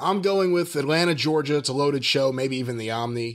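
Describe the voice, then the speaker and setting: A man with a plain, everyday voice talks at a fairly quick pace and a fairly high pitch. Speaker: podcast co-host. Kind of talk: casual chat.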